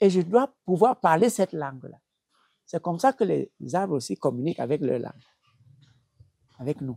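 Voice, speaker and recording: In a Cameroonian accent, a man with a dark, mellow tone speaks at a moderate pace, using very wide pitch swings and long, frequent pauses. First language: Bassa (speaking French). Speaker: traditional healer. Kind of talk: interview. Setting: at his home. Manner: halting, with repetitions.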